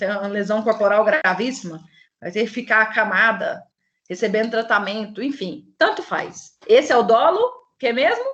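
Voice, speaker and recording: Speaking at a moderate pace with lively intonation, this woman has an unremarkable speaking voice and a fairly high pitch. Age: 30s. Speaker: law professor. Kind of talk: lecture.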